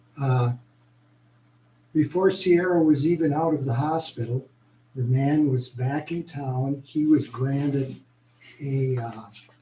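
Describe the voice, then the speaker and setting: A man with an American accent speaks at a very slow pace with long, frequent pauses, fairly even intonation and a fairly high pitch, his tone dark, mellow and somewhat breathy. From Postville area, US Midwest. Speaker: citizen speaker at council meeting. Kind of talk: public comment. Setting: council meeting, hall with audience.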